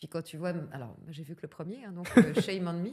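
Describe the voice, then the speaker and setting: A woman's fairly low, dark and mellow voice at a fairly quick pace, with ordinary pitch variation. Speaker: voice actress. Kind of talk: casual chat. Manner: animated.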